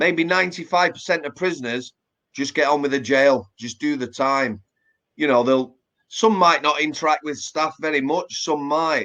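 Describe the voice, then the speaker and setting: A man with a Yorkshire accent, a fairly high pitch, a bright, sharp tone, ordinary pitch variation and a moderate pace. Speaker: former prison officer. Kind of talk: casual interview chat. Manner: hesitant with repeated words.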